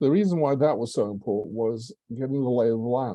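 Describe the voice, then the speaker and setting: Dark and mellow in tone, a man speaks with an English accent. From England. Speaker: public speaking club member. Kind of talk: prepared speech.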